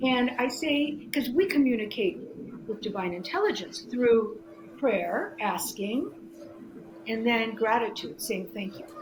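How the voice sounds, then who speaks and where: A woman speaks at a fairly slow pace with a fairly high pitch and lively intonation. Noticeable background noise and audible room echo are present. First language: Greek. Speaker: spirituality guest, former therapist. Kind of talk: interview. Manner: halting, many restarts and fillers.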